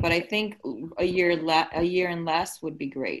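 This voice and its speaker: A woman with a normal speaking voice talks at a fairly low pitch and a moderate pace. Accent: American. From United States, raised from infancy. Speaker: podcast co-host. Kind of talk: casual chat.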